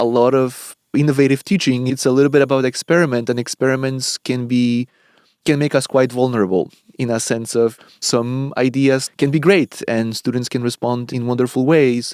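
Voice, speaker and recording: A man with a Polish accent talks at a moderate pace and medium pitch. His intonation stays fairly even, and the sound is dry and close with no echo. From Poland. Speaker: professor. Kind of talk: interview. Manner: measured, with fillers and repetitions.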